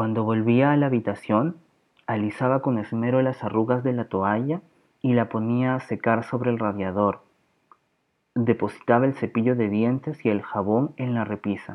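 A man's normal speaking voice at medium pitch, moderate pace and fairly even intonation. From Peru, Lima. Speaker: podcast host. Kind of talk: reading aloud.

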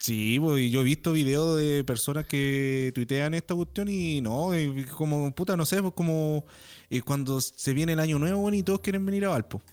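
A man in a Chilean accent talks at a moderate pace with a fairly high voice and ordinary pitch variation. His loudness stays very even. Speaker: podcast host. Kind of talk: casual chat.

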